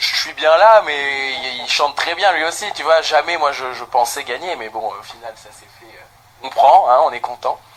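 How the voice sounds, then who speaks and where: Amid noticeable background noise, a man speaks fairly slowly in a fairly high voice, with ordinary pitch variation and big swings in loudness. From Lorraine, France (Thionville). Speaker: singer. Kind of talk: interview.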